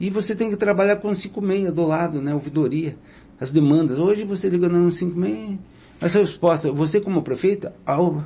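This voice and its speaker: A man's high-pitched voice moves at a moderate pace, its pitch rising and falling in an ordinary way. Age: 60s. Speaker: mayoral candidate. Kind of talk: interview. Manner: filler-heavy, frequent 'né'.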